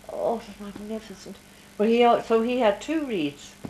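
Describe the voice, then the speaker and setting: Over music in the background, a woman talks in an Irish accent. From Ireland. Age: 80s+. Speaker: grandmother interviewed by grandchild. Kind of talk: family interview.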